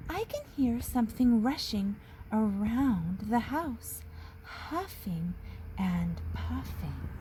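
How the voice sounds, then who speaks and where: Over clear background noise, a woman puts on a character voice at a very slow pace. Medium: read story. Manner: anxious, pleading.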